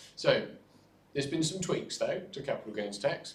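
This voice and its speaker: Audible room echo and noticeable background noise accompany a voice moving at a fairly quick pace with ordinary pitch variation. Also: man. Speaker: tax lawyer presenting at a budget briefing. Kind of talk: presentation. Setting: hybrid in-person and online event with audience.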